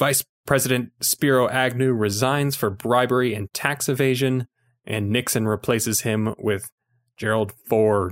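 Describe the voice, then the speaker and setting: Delivered at a fairly slow pace with fairly even intonation, the voice is in an American accent. The recording is very clean, with a silent background and a dry, close sound with no echo. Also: man, medium pitch for a man. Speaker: film podcast co-host, filmmaker. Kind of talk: casual chat.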